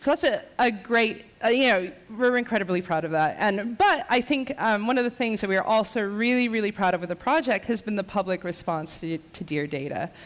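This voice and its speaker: Noticeable background noise surrounds a woman with a fairly high pitch and lively intonation. She speaks at a fairly quick pace with hardly any pauses. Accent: American. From United States. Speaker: designer and artist. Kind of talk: conference talk. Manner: hesitant, many fillers.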